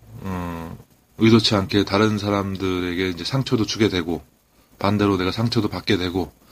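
A man speaks in a very deep, low pitch at a moderate pace. His pitch variation is ordinary. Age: 40s. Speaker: Chinese language teacher. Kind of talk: casual monologue; tutorial. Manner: hesitant, many fillers.

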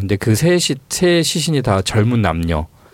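Male speech with very wide pitch swings amid noticeable background noise. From Honam (Jeolla), South Korea. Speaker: newspaper reporter. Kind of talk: casual interview chat. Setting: studio.

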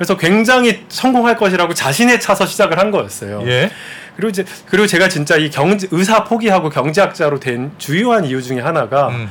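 Over noticeable background noise, a man talks at a very fast pace in a high-pitched voice with lively intonation. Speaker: economics professor. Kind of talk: interview. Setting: studio. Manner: gentle.

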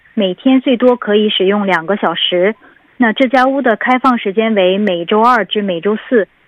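This woman's pitch varies in an ordinary way as she talks at a moderate pace. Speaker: city government information officer. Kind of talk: informational report in conversation. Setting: phone call.

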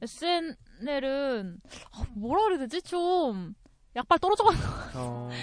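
Over background music, a woman with a high voice speaks very slowly, her pitch swinging very widely between long, frequent pauses. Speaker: podcast panelist. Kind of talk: casual chat.

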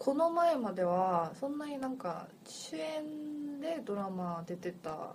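Amid noticeable background noise and audible room echo, a woman speaks with a high pitch and very wide pitch swings, at a very slow pace with hardly any pauses. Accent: Korean. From Seoul, South Korea. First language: Korean (speaking Japanese). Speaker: podcast co-host. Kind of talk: casual chat.

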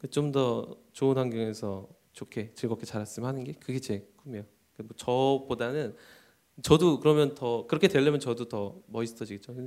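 A man's dark, mellow tone at a moderate pace. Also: medium pitch for a man, ordinary pitch variation, big swings in loudness. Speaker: custom suit company CEO. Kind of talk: interview on live talk show. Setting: stage with audience. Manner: halting.

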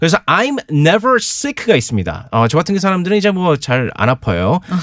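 Recorded dry and close with no echo, a man talks at a moderate pace in a high pitch, his voice swinging very widely up and down. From South Korea, Gyeonggi (Gwangju), emigrated to the US. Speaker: English teacher. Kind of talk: radio English lesson.

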